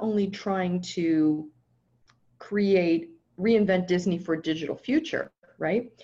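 This woman has an American accent. Her tone is dark, mellow and somewhat breathy. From US, Southern California. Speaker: technology consultant. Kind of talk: interview.

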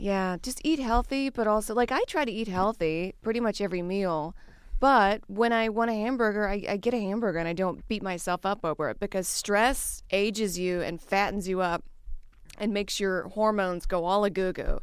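In a very clean recording with a silent background, a woman with an American accent speaks at a moderate pace in a plain, everyday voice, her pitch medium and her pitch variation ordinary. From US South, Louisiana. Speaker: stand-up comedian. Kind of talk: casual chat.

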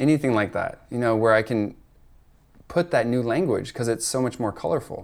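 A man with an unremarkable speaking voice talks at a moderate pace in a very clean recording with a silent background. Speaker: rewilding coach and ecology artist. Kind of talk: casual conversation.

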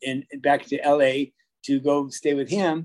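A man with a plain, everyday voice and an American accent speaks at a fairly high pitch with fairly even intonation. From California. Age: 50s. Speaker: choreographer and dance teacher. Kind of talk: casual chat. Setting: in person.

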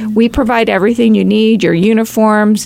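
A woman speaks in a plain, everyday voice. Her pitch is medium and her pace moderate. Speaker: youth program staff member. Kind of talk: casual chat.

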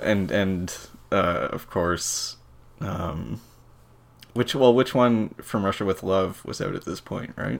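Full of vocal fry, the voice moves at a very slow pace with long, frequent pauses and lively intonation. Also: man, fairly low pitch for a man. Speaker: podcast co-host, games writer. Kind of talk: casual chat. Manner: jokey.

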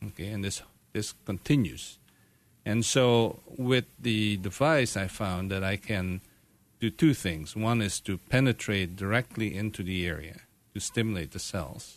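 In a plain, everyday voice, a man speaks at a fairly slow pace with a fairly low pitch and ordinary pitch variation against a quiet background. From Canada. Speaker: medical doctor, pain specialist. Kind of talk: radio interview. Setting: radio studio.

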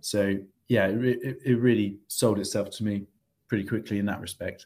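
With a British accent, a man speaks at a fairly low pitch in a monotone, flat intonation. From UK. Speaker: MBA student. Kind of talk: interview. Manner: halting, many fillers and repetitions.

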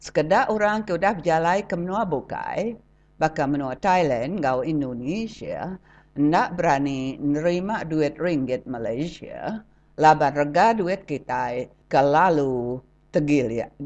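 Against a quiet background, a woman with a Sarawak accent and a very deep, low pitch speaks very slowly with lively intonation. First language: Iban (speaking Malay). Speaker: radio commentator. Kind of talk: scripted commentary.

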